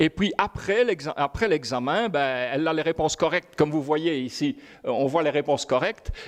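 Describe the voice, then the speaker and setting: The voice holds a very even loudness with ordinary pitch variation, heard as a dry, close sound with no echo. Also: man, fairly high pitch for a man. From Belgium. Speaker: professor. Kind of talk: lecture. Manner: fast; halting.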